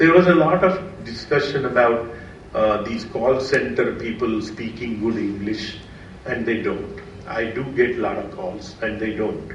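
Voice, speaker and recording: A man with an Indian accent and medium pitch speaks at a moderate pace, with ordinary pitch variation. Both room echo and noticeable background noise can be heard. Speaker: quantitative finance professional. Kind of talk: seminar talk. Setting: seminar with audience.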